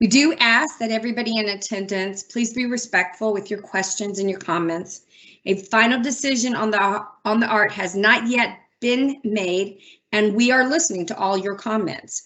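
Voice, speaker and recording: A woman with an unremarkable speaking voice uses a fairly high pitch and ordinary pitch variation, moving at a moderate pace. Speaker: city transportation director. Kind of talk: public meeting opening remarks.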